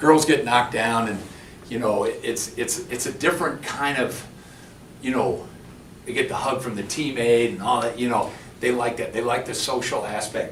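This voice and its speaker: A man at medium pitch talks at a moderate pace with ordinary pitch variation, and audible room echo surrounds his voice. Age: 60s. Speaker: former pro basketball player and coach. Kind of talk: conference workshop talk. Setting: conference room with audience. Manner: halting, many false starts.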